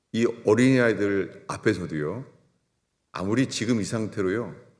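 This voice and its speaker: Room echo is audible in this clip. A man talks at a fairly slow pace. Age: 60s. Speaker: pastor. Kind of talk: sermon.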